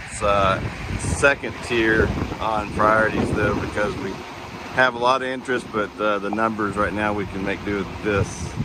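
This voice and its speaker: A man with an American accent speaks at a moderate pace in a flat monotone. Audible room echo and noticeable background noise surround his voice. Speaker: school district administrator. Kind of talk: walking video tour narration. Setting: outdoors at farm barn.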